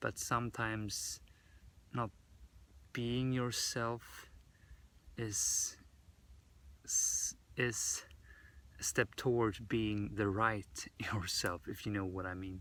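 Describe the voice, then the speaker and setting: Speaking very slowly with long, frequent pauses, a man with a fairly low pitch uses a bright, sharp tone and fairly even intonation. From Sweden. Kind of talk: casual vlog talk to camera. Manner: deliberately slow, with pauses.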